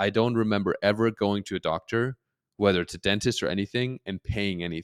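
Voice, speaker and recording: This man talks at a fairly quick pace with a German accent and fairly even intonation. The sound is dry and close, with no echo. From Germany. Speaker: comedian and social media creator. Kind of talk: casual interview chat.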